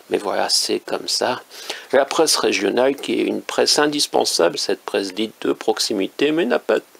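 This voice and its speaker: This man speaks at a moderate pace. The sound is dry and close with no echo, though there is noticeable background noise. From northern France. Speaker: independent author and commentator. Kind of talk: casual monologue commentary. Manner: hesitant, many fillers.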